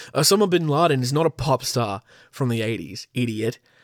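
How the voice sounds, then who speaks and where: Over a very clean recording with a silent background, a man with an Australian accent makes very wide pitch swings. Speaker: podcast host. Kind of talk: casual solo podcast monologue. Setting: home recording with pop filter mic. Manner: laughs often.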